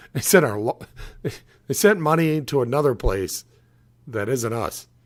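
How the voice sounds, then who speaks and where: This man's voice sits fairly high for a man and carries lively intonation at a moderate pace. The recording is very clean, with a silent background. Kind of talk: casual talk to camera. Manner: candid, conversational.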